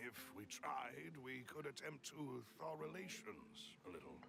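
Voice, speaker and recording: Against loud background noise, a man puts on a character voice at a medium pitch and a fairly slow pace. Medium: video game. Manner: formal, courteous.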